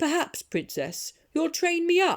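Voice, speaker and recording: Speaking at a fairly slow pace, a woman uses a put-on character voice pitched extremely high. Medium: read story.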